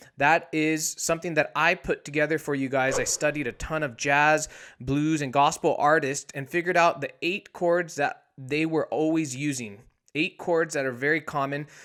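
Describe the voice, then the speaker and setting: In a very clean recording with a silent background, a man with an unremarkable speaking voice talks at a moderate pace, fairly high in pitch, with fairly even intonation. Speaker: piano teacher. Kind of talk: tutorial. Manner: casual.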